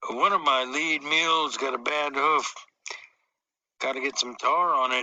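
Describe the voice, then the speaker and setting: A man puts on a raspy character voice, fairly high in pitch. His pace is moderate and his intonation fairly even. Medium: read story. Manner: terse, calm.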